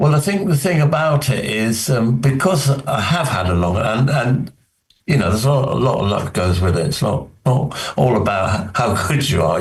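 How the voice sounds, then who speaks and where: A man with a British accent, medium pitch and very wide pitch swings, a fairly quick pace, very even loudness, a somewhat breathy quality and audible room echo. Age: 70s. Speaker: magician. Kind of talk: interview. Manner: halting.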